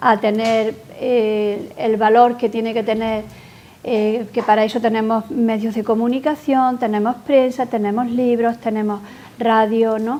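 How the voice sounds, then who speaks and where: A woman's monotone, flat voice at a fairly slow pace, over noticeable background noise. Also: fairly high pitch for a woman. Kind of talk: interview answer.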